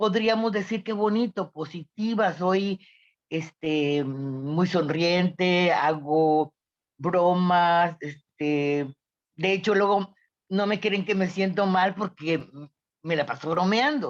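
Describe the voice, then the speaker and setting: A woman's fairly low voice at a very slow pace, with ordinary pitch variation, very even loudness and a quiet background. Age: 70s. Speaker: workshop participant. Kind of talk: personal testimony. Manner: halting.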